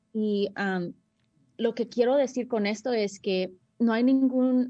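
Dark and mellow in tone, a woman's voice holds a fairly even intonation. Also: quiet background. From United States, Salvadoran family. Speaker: community volunteer and mother. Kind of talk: interview. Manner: halting, many fillers.

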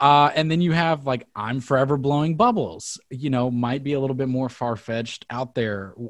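At a moderate pace with hardly any pauses, a man speaks at medium pitch with ordinary pitch variation. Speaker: podcast host. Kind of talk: casual interview. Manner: halting.

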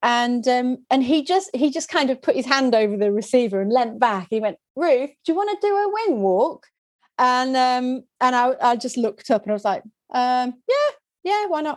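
With a Yorkshire accent, the speaker talks at a moderate pace, pitch swinging very widely. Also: woman, high pitch for a woman. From West Yorkshire, England. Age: 40s. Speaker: video producer and trainer. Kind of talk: interview. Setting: video call.

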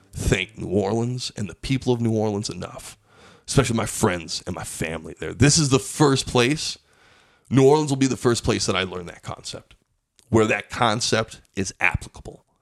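A man with a normal speaking voice at medium pitch, ordinary pitch variation and big swings in loudness, on a very clean recording with a silent background. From Pueblo, Colorado. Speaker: stand-up comedian. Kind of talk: casual chat.

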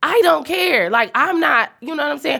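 A woman's bright, sharp tone with very wide pitch swings. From Detroit, US. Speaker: comedy podcast co-host. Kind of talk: casual comedic chat. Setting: studio.

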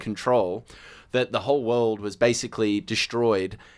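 A man speaks with an Australian accent at a medium pitch. His intonation is fairly even. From Australia, Sydney northern beaches. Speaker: TV presenter. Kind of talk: casual chat.

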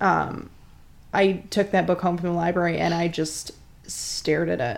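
A woman's fairly low voice at a very slow pace, with fairly even intonation. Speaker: podcast co-host. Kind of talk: casual chat, comedic banter.

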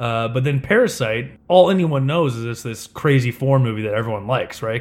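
Using a medium pitch, a man talks at a fairly quick pace with ordinary pitch variation. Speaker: podcast host. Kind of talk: casual chat.

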